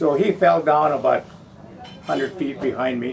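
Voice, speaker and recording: A man with a fairly high pitch and ordinary pitch variation talks fairly slowly while noticeable background noise carries on. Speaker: war veteran. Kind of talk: interview answer.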